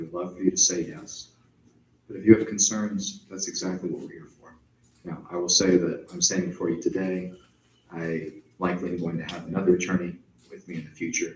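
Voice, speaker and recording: Soft-spoken and very deep in pitch, a man talks at a fairly quick pace. His intonation stays fairly even, though his loudness swings widely. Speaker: agency attorney. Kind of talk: public meeting Q&A.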